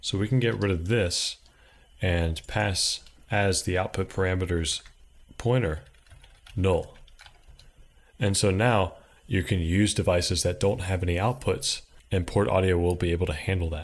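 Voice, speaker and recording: A very deep, low-pitched man speaks at a moderate pace, somewhat breathy, with very even loudness and long, frequent pauses. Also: ordinary pitch variation. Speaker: programming tutorial creator. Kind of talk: tutorial.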